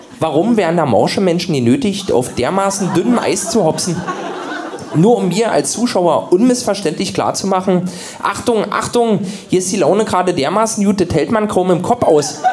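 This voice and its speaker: A man with a high pitch and lively intonation is heard over noticeable background noise and audible room echo. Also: moderate pace. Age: 30s. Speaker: radio comedian. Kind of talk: comedic reading.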